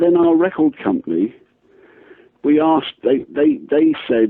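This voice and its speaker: A man with an English accent speaks at a fairly slow pace. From England. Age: 60s. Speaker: singer-songwriter. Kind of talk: radio interview. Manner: halting, many restarts.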